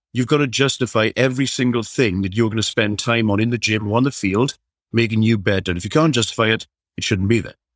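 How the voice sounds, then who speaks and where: Speaking very fast in a Welsh accent with fairly even intonation, the voice sits on a very clean recording with a silent background. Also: man, medium pitch for a man. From South Wales. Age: 40s. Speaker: strength and conditioning coach. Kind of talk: casual chat.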